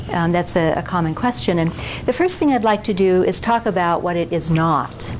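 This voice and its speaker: A woman speaks at a moderate pace. Audible room echo and noticeable background noise surround her voice. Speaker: physician and keynote speaker. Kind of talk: lecture. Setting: stage with audience. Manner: soft-spoken. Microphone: no microphone, recorder only.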